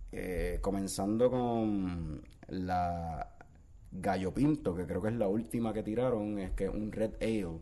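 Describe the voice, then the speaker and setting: Very slow in pace, a man talks at a fairly low pitch with ordinary pitch variation. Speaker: podcast host. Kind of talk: casual chat.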